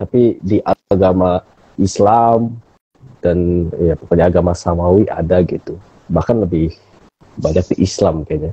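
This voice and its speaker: Very deep and low, a somewhat breathy man's voice moves at a fairly slow pace with fairly even intonation, long, frequent pauses, very even loudness and a dry, close sound with no echo. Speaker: philosophy talk show host. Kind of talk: casual discussion on live stream. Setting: Instagram live stream.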